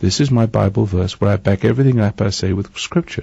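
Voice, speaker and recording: A somewhat breathy voice with an English accent, moderate pace and ordinary pitch variation. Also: man. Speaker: radio preacher. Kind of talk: sermon. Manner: halting.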